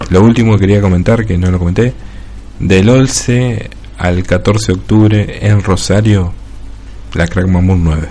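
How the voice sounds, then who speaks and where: In a room with audible echo and noticeable background noise, a man with a very deep, low voice speaks at a fairly slow pace with long, frequent pauses. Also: ordinary pitch variation. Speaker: podcast host. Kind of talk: casual chat; reading a game review aloud.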